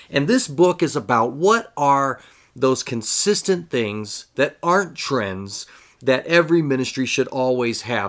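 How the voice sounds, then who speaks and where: A man talks in a normal speaking voice at medium pitch. His pace is moderate and his pitch variation ordinary. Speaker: children's ministry podcast host. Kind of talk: podcast monologue.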